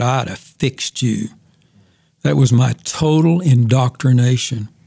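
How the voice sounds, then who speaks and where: Dark, mellow tone in a man's somewhat breathy voice. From US, moved around; born in Oklahoma. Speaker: retired pastor and Bible teacher. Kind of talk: casual interview, personal testimony.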